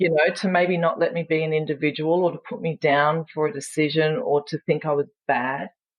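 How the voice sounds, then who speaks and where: Speaking at a fairly quick pace, a woman with an Australian accent has a very deep, low pitch. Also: ordinary pitch variation. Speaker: empowerment coach and speaker. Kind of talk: podcast interview answer. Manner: frank and funny.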